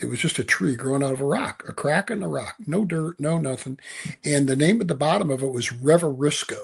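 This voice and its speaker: Fairly high for a man and somewhat breathy, a male voice with ordinary pitch variation and a fairly quick pace. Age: 70s. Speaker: author and leadership speaker. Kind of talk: podcast interview. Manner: halting, repeats words.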